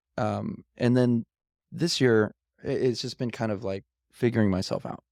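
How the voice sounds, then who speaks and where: A plain, everyday voice: a man with an American accent, medium pitch, ordinary pitch variation and a moderate pace, in a dry, close sound with no echo. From Los Angeles, US. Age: 30s. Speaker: pianist. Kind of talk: casual chat.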